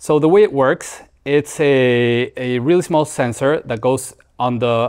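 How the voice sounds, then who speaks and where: A man speaks at a fairly slow pace with a Mexican accent and ordinary pitch variation. The background is quiet. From Mexico. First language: Spanish. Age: 40s. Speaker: startup founder. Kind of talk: interview. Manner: halting. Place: studio. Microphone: lapel.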